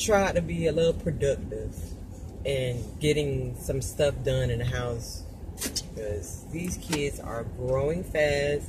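Over noticeable background noise, a woman talks in a very deep, low pitch. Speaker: mother vlogger. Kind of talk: casual vlog chat. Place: car. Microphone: phone near.

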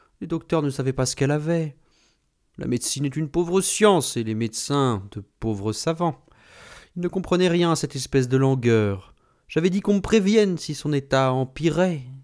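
Heard in a very clean recording with a silent background, a man talks at a moderate pace in an unremarkable speaking voice, fairly high in pitch with lively intonation. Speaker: audiobook narrator. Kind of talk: literary audiobook reading, third-person narration with quoted dialogue. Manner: measured, storytelling pace, shifting into character voices for dialogue.

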